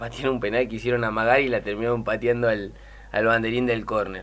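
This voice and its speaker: This man talks at a medium pitch. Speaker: women's football coach. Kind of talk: radio interview. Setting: studio. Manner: halting. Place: studio.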